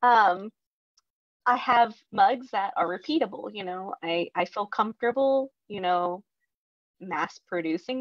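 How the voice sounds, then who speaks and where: Against a quiet background, a woman speaks at a fairly slow pace with lively intonation, her sound dry with no echo. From Mexico, raised in US South. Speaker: potter and illustrator. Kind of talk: casual panel talk. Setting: video call. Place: workshop.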